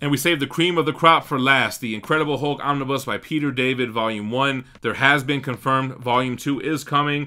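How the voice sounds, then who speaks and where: Speaking at a fairly quick pace, a man has a bright, sharp tone and fairly even intonation. The background is quiet. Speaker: comic collector host. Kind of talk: casual vlog chat. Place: home room. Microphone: studio mic.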